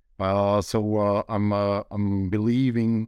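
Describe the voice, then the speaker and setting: A man with a Slovak accent and a fairly low pitch. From Slovakia. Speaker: sports tech entrepreneur. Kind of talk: interview. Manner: halting.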